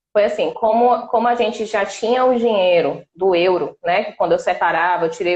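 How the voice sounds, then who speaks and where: A woman of medium pitch speaks with lively intonation in a normal speaking voice. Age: 30s. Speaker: exchange student-to-be. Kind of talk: live stream interview.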